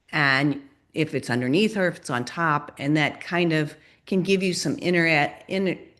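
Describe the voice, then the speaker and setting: A woman speaks against a quiet background. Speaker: sculptor, ceramic artist. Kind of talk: presentation with Q&A on video call.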